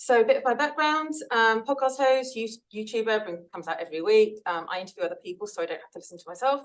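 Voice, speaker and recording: A woman talks very fast in a fairly high voice, her loudness swinging widely and her intonation lively. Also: hardly any pauses. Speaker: podcast host. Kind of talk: seminar talk.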